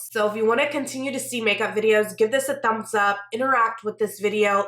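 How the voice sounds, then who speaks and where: Over noticeable background noise, a woman talks fairly quickly at a fairly high pitch with fairly even intonation. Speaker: beauty YouTuber. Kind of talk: casual chat.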